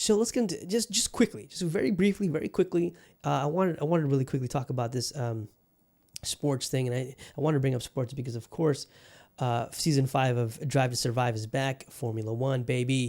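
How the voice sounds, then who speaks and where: On a very clean recording with a silent background, a man with an ordinary speaking voice talks at a fairly quick pace, his medium pitch carried by lively intonation. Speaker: podcast host, journalist. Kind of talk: casual podcast monologue. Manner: conversational, rambling, with many filler words.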